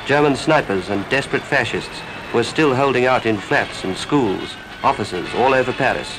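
A man at medium pitch, with noticeable background noise. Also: ordinary pitch variation, moderate pace. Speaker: newsreel narrator. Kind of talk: wartime newsreel narration.

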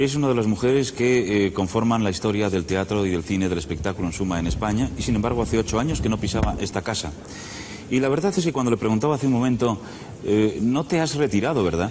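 There's light background noise as a man with a fairly low pitch speaks at a very fast pace. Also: lively intonation, very even loudness. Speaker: TV interviewer. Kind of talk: TV talk show host introduction and questions. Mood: warm, respectful. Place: studio. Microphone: lapel.

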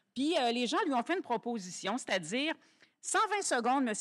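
Against a quiet background, a woman speaks high in her range with very wide pitch swings. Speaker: event host. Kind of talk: live event hosting. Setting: stage with audience. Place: hall. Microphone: podium.

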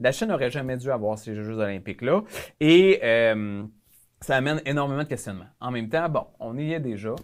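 A man speaks with lively intonation at a fairly quick pace. The background is quiet. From Quebec. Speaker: member of parliament; guest. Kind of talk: casual interview. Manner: halting. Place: studio. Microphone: lapel.

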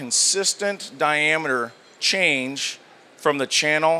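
Over light background noise, a man talks in a bright, sharp tone. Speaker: presenter. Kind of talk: product demonstration. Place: hall. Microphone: handheld.

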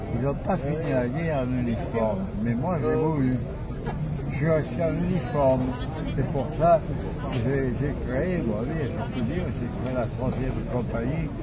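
Amid loud background noise, a man speaks at a fairly slow pace with long, frequent pauses. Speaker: war veteran, former resistance fighter. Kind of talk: interview answer. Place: street. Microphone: handheld.

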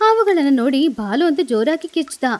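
Fairly quick speech from a woman with a high pitch and big pitch swings

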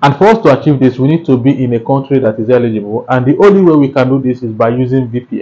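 A man's very fast speech at medium pitch, with a dark, mellow tone and ordinary pitch variation. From Nigeria. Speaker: YouTube tutorial creator. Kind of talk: tutorial. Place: home room. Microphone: lapel.

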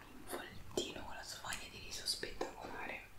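A woman is whispering. Her pace is fairly slow. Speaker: ASMR creator. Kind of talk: ASMR eating video, casual talk to camera. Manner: whispering, soft talk. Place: home room.

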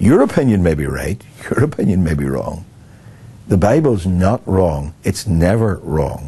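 A man speaks at a fairly slow pace with low pitch, big pitch swings and vocal fry. His tone is dark and mellow.

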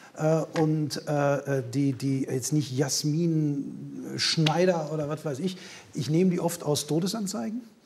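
With noticeable background noise, a man speaks at a very slow pace and with ordinary pitch variation. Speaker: comedian; talk show guest. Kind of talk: casual talk show chat. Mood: humorous, anecdotal. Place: studio. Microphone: lapel.

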